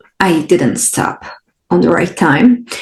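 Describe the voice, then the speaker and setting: The speaker has a non-native accent and talks at a very slow pace. Intonation is lively throughout. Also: woman. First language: not English. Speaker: podcast host and spiritual coach. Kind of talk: solo podcast talk.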